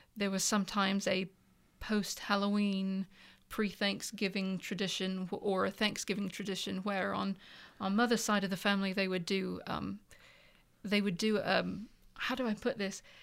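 The recording is very clean, with a silent background. A woman with an English accent speaks at a medium pitch and a fairly slow pace. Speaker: author. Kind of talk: casual chat. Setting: studio.

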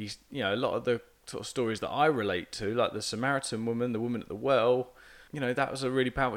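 A man's medium-pitched, plain, everyday voice with fairly even intonation. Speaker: podcast co-host. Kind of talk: casual podcast chat. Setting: at a dining room table.

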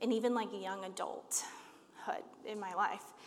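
A woman talks, and audible room echo surrounds her voice. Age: 30s. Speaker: church leader preaching. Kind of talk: sermon.

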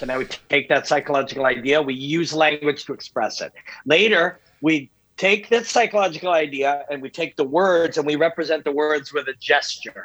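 A man's fairly high-pitched, ordinary speaking voice, with ordinary pitch variation, at a moderate pace. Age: 50s. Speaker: MMA analyst. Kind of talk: casual chat.

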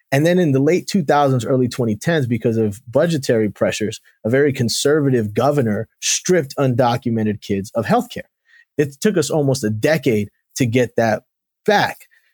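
The speaker has a normal speaking voice and a moderate pace. The recording is very clean with a silent background, the sound dry and close with no echo. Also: man, medium pitch for a man. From South Florida and Rhode Island, Colombian family. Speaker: state senator. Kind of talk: interview.

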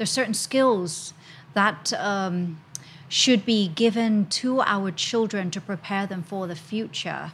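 Very slow, somewhat breathy speech with lively intonation. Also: woman. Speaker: English teacher and educator. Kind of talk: casual panel discussion. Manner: animated.

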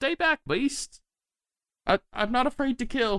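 A man in a put-on character voice, extremely high-pitched, at a fairly slow pace, on a very clean recording with a silent background. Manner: fearful, defensive.

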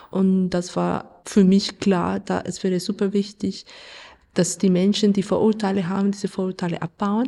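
A woman in a Spanish accent, medium in pitch, dark and mellow, with monotone, flat intonation at a moderate pace, on a very clean recording with a silent background. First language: Spanish (speaking German). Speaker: radio play author and theatre director. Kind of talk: interview.

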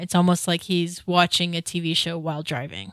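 A woman speaks at a fairly quick pace and fairly low pitch in a normal speaking voice. The recording is very clean, with a silent background. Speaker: podcast co-host, author. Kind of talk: casual chat.

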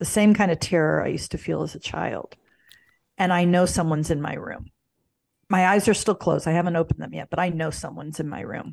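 A woman talks very fast with an American accent, her fairly low voice showing vocal fry. Her intonation stays fairly even over a quiet background. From US Midwest, St. Louis, Missouri. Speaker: spiritual mentor and yoga instructor. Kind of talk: interview.

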